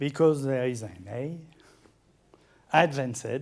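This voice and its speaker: Speaking very slowly, a man talks in a French accent. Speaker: amateur radio software developer. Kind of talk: conference talk. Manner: halting.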